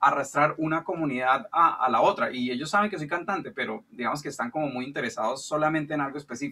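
Lively intonation marks a man's bright, sharp voice. He talks at a very fast pace. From Colombia. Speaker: music producer and songwriter. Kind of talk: question in online Q&A. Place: studio. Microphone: video call.

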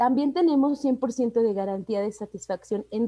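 Over a quiet background, a woman speaks at a fairly high pitch with a dark, mellow tone and a dry sound with no echo. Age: 30s. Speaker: network marketing entrepreneur; presenter. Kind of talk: sales pitch. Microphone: video call.

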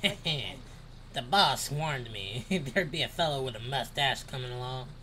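Putting on a character voice with a Southern US accent, a man talks at a moderate pace and medium pitch over clear background noise. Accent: southern, cowboy-like.

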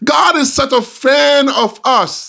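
Against a quiet background, a man's voice moves in very wide pitch swings. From Jamaica. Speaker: pastor; preacher. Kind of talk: sermon. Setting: video call. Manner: hesitant, many fillers. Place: home room. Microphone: studio mic.

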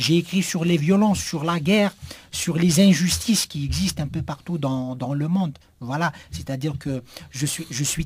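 Speaking at a fairly quick pace, a man with a fairly high pitch sounds somewhat breathy and uses lively intonation. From Algeria. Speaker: writer and poet; poet. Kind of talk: radio interview. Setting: radio studio. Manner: halting with repetitions.

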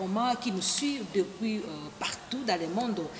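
Amid audible room echo and noticeable background noise, a woman speaks with lively intonation. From DR Congo. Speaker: web TV host. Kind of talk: casual chat. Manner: animated.

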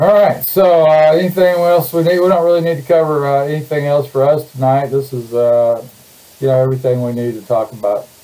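With a normal speaking voice, a man talks at a fairly quick pace, his pitch fairly high and its variation ordinary. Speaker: online show host. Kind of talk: casual livestream introduction. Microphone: webcam.

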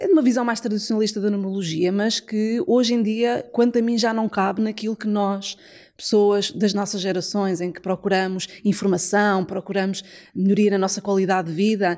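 A woman talks with fairly even intonation at a moderate pace, the background quiet. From Portugal. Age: 40s. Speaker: numerologist; podcast guest. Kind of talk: casual chat. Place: home room. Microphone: studio mic.

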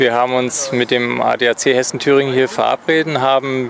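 With vocal fry and little pitch movement, a man at medium pitch talks at a moderate pace over faint background noise.

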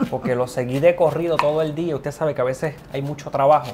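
A fairly high-pitched man at a fairly quick pace, amid noticeable background noise. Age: 40s. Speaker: nutrition show host. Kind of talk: cooking show chat. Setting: kitchen. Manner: animated. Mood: cheerful, joking. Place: kitchen.

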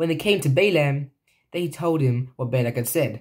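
Over a quiet background, a man speaks at a moderate pace in a somewhat breathy voice. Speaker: reader. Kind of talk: reading aloud from scripture. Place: home room. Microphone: phone near.

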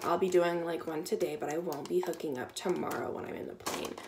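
Loud noise fills the background while a woman talks. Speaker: vlogger. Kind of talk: casual vlog chat. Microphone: phone near.

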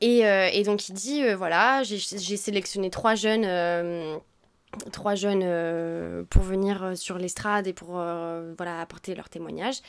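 In a very clean recording with a silent background, a woman speaks at a very slow pace with medium pitch, ordinary pitch variation and big swings in loudness. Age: 20s. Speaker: former exchange student. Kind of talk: interview. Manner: halting.

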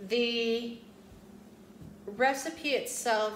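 A woman speaks with a fairly high pitch. Room echo can be heard around her voice.

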